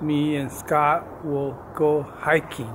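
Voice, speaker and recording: A man's voice with noticeable background noise. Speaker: vlogger. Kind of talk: casual vlog chat. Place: garden. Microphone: phone near.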